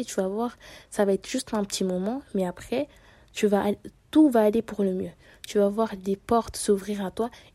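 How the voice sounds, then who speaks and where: At a fairly quick pace and medium pitch, a woman speaks with fairly even intonation in a very clean recording with a silent background. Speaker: podcaster. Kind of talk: personal monologue. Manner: halting.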